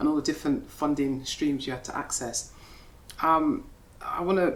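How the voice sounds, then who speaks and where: A soft-spoken woman talks at a moderate pace. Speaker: interviewer. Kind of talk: onstage interview conversation. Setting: gallery with live audience.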